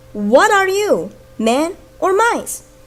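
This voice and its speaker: A put-on character voice, squeaky, with very wide pitch swings. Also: woman, extremely high pitch for a woman. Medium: read story.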